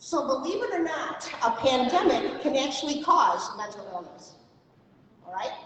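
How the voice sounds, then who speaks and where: Woman's voice amid audible room echo and noticeable background noise. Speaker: mental health advocate, keynote speaker. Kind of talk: presentation to audience. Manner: fast.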